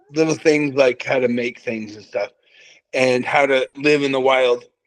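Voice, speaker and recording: A man talking at a moderate pace. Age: 40s. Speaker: author and brain tumor survivor. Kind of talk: interview storytelling.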